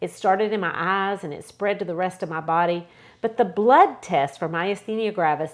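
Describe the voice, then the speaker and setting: On a very clean recording with a silent background, a woman with an ordinary speaking voice and a medium pitch talks at a moderate pace with lively intonation. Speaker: doctor, lifestyle medicine. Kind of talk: personal health talk to camera.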